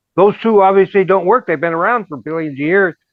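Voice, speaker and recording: Pitch variation here is ordinary. The speaker is a man. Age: 70s. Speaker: spiritual technology developer. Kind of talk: casual chat.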